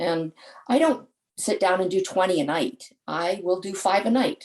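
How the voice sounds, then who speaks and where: An ordinary speaking voice from a woman, medium in pitch, with lively intonation at a fairly slow pace. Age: 60s. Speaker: charity fundraiser, parent of patient. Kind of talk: webinar panel talk.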